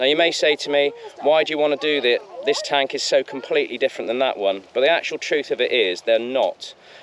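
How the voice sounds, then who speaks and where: With noticeable background noise, a man talks at a fairly quick pace. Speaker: tank museum presenter. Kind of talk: video presentation.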